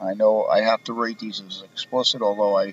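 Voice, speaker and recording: The audio is dry and close, without any echo. A man talks at a moderate pace. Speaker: podcast host. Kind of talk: solo podcast monologue. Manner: monotone.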